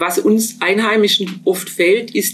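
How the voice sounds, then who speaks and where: The speech comes at a fairly slow pace, somewhat breathy, with ordinary pitch variation. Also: woman. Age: old. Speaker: professor emerita of sports pedagogy. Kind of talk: interview.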